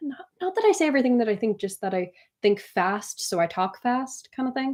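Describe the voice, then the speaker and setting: Her pitch high and swinging very widely, a woman speaks at a fairly quick pace. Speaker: artist streaming live. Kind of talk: casual live stream chat. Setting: live stream from computer. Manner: fast.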